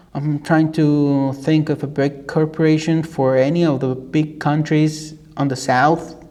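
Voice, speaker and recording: Over noticeable background noise, a man with a Mexican accent speaks fairly slowly in a fairly high pitch, hardly pausing, with monotone, flat intonation. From Mexico. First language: Spanish. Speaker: YouTuber reacting to videos. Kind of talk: casual commentary. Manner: halting, with many repetitions and fillers.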